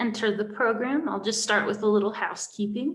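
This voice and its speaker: This woman's fairly high, somewhat breathy voice moves with ordinary pitch variation. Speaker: library event host. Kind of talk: event introduction.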